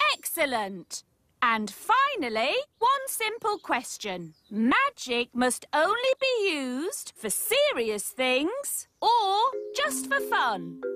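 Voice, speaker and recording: A female-sounding cartoonish character voice comes through at a high pitch. The delivery is very slow. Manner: prim, precise.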